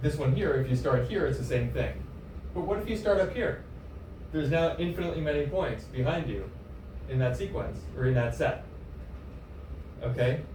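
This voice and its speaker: A man speaks with long, frequent pauses. Noticeable background noise and audible room echo fill the recording. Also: moderate pace. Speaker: mathematics lecturer. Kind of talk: lecture.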